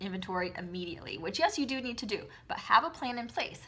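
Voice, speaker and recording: Talking at a very fast pace, a woman uses lively intonation and an upbeat tone. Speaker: direct sales consultant and video host. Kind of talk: casual advice talk to camera. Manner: perky, upbeat.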